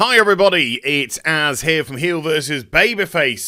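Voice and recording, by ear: A man puts on a croaky character voice at a fairly high pitch. His intonation is lively and his pace moderate.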